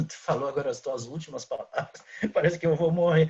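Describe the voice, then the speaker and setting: This man speaks at a moderate pace. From southern Brazil, Rio Grande do Sul (São Borja). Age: 60s. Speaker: journalist. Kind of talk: casual chat.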